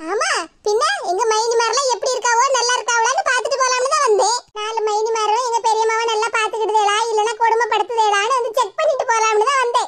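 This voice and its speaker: Putting on a cartoonish character voice, a woman talks at an extremely high pitch and a moderate pace, with fairly even intonation and very even loudness. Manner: warm, friendly.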